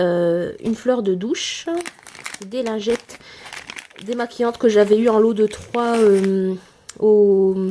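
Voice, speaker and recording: A woman talks with ordinary pitch variation while noticeable background noise runs underneath. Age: 20s. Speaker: dairy farmer and small stable manager. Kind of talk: casual talk to camera.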